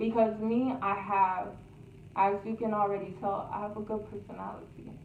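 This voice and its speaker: At a moderate pace, a woman speaks with a fairly high pitch and big swings in loudness. Noticeable background noise and audible room echo fill the recording. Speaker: YouTuber. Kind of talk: storytime vlog.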